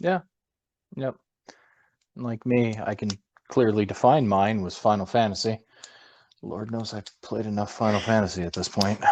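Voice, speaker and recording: At a moderate pace and with long, frequent pauses, a man with a Minnesota accent speaks at a fairly low pitch with ordinary pitch variation. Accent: Minnesotan American. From Minnesota, US. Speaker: gamer, podcast co-host. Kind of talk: casual chat.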